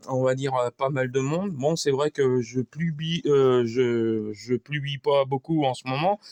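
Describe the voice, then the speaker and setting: Speaking at a very slow pace with hardly any pauses, a man uses a medium pitch and ordinary pitch variation. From France, Sarthe. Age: 50s. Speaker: amateur mechanic YouTuber. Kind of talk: workshop tutorial monologue. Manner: halting, many fillers and repetitions; casual.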